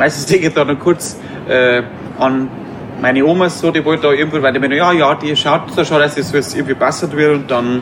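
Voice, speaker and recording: Over noticeable background noise, a man with a Bavarian accent speaks fairly quickly in a fairly high voice. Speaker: cabaret artist. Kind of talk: casual interview. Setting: outdoor courtyard.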